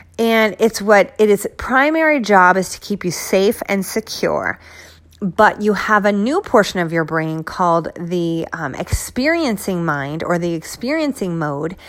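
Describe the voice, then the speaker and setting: A woman speaks at a fairly slow pace with a medium pitch. Her tone is animated, with very wide pitch swings. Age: 40s. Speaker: wellness and fitness podcaster. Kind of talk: solo motivational talk.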